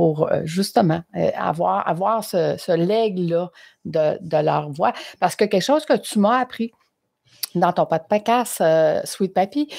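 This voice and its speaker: Very slow but lively in intonation, a woman speaks with a Quebec accent at medium pitch, with vocal fry. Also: very even loudness. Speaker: interviewer, podcaster. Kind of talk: casual interview chat.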